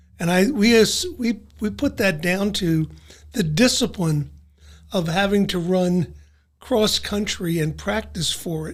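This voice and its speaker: With a Philadelphia accent, a man speaks at a high pitch and a fairly slow pace. His pitch variation is ordinary. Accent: Philadelphia-area American. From South Jersey, US. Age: 70s. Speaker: retired civil servant. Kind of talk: interview. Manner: halting.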